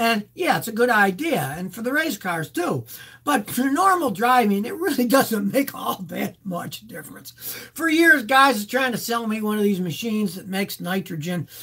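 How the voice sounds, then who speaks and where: A man's raised, projected voice, with big swings in loudness and very wide pitch swings. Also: moderate pace. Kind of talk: live Q&A answers. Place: home room. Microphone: webcam.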